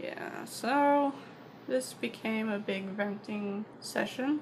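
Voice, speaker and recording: Soft-spoken, a woman at a medium pitch uses lively intonation against noticeable background noise. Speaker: vlogger. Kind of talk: personal vlog monologue. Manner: halting.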